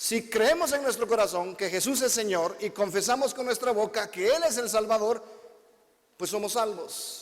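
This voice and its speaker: A man talks at a fairly slow pace in an extremely high pitch, with ordinary pitch variation. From Guatemala. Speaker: visiting preacher. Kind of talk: sermon. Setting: church with congregation.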